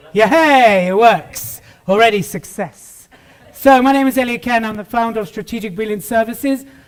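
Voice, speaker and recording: A man with a British accent talks in an energetic tone and a high pitch. His pitch variation is ordinary, while his loudness swings widely. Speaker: business consultant and public speaker. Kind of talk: keynote speech. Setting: stage with audience. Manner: fast.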